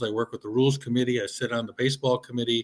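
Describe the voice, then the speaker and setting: Against a quiet background, a man with a plain, everyday voice and medium pitch talks at a fairly quick pace. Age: 60s. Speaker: baseball umpire coordinator. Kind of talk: interview.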